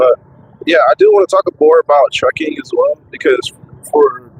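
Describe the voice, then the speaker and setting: A man's moderately paced speech is heard through noticeable background noise. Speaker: truck driver vlogger. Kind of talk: casual vlog talk. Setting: in a truck. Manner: halting, repetitive. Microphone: cheap microphone.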